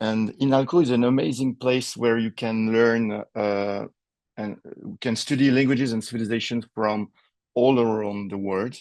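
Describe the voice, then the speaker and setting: In a French accent, a man speaks at a moderate pace and medium pitch with fairly even intonation. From French Polynesia, Tahiti. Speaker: linguistics professor. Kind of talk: lecture.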